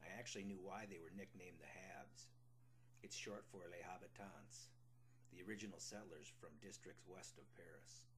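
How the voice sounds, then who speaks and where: With an American accent, a man speaks at a moderate pace in a fairly low voice with vocal fry and very wide pitch swings. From Minnesota. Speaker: memoir author. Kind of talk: reading aloud of a memoir.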